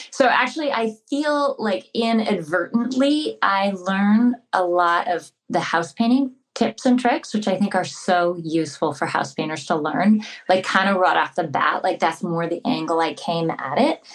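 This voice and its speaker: Speaking in an American accent, a woman uses a medium pitch with very wide pitch swings. She keeps a moderate pace with hardly any pauses. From California. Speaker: muralist and author. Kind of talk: casual interview chat.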